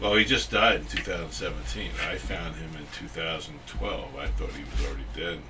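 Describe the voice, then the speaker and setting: Over noticeable background noise and audible room echo, a man with a very deep, low voice talks at a fairly quick pace with hardly any pauses and big swings in loudness. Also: ordinary pitch variation. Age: 60s. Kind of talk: interview. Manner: halting, many fillers.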